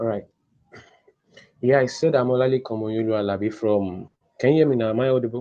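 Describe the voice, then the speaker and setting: A soft-spoken man with a Nigerian accent talks very fast at a medium pitch, his intonation fairly even, broken by long, frequent pauses. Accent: Nigerian (Yoruba) English. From Nigeria, Osun State (Yoruba). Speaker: podcast guest. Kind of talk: interview.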